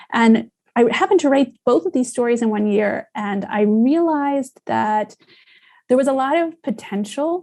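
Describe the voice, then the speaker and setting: Dark and mellow in tone, a woman with an American accent speaks at a fairly slow pace with lively intonation. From United States. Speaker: science journalist and author. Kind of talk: interview. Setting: podcast interview.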